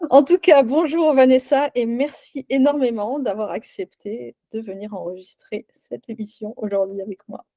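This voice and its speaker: A woman talks at a fairly slow pace with hardly any pauses, her fairly high voice dark and mellow in tone. Her intonation is lively, her loudness swings widely, and the sound is dry and close with no echo. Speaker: podcast host and wellbeing coach. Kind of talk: casual interview. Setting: recorded video podcast.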